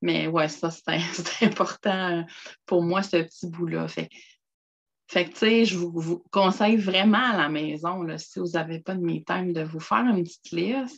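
Speaking in a Quebec accent, a woman uses a fairly low pitch and ordinary pitch variation at a fairly slow pace. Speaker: personal development contributor. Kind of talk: casual chat.

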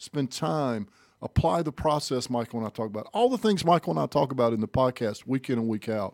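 In a very clean recording with a silent background, a man with a medium pitch and a dark, mellow tone speaks at a fairly quick pace with lively intonation, the sound dry and close with no echo. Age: 50s. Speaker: motivational speaker and podcast co-host. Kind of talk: casual chat.

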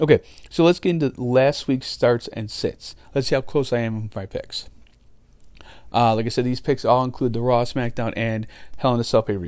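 The recording is very clean with a silent background, and the man's pitch sits at a medium level. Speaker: fantasy wrestling podcast host. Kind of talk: solo podcast commentary. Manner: fast.

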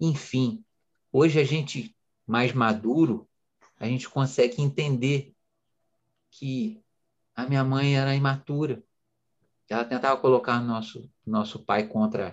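A man speaks at a fairly slow pace. His medium pitch shows ordinary variation. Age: 40s. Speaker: entrepreneur and coach. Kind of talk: interview. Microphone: connection glitch.

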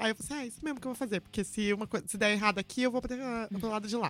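Fairly high pitch from a woman, with ordinary pitch variation. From São Paulo state countryside, Brazil. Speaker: metal vocalist and music business professional. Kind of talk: casual chat.

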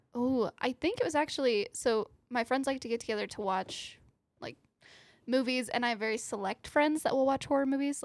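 A woman with an American accent, high in pitch, at a moderate pace with ordinary pitch variation. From US South. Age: 20s.

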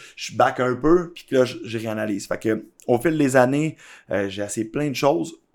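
A very clean recording against a silent background, with ordinary pitch variation. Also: man. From Quebec, Laval and Blainville. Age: 30s. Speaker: entrepreneur. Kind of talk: interview. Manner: halting.

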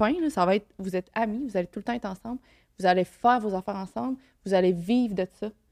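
Speaking very fast at a medium pitch with ordinary variation, a woman is heard in a very clean recording with a silent background and a dry, close sound with no echo. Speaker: guest on a podcast. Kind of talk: casual chat.

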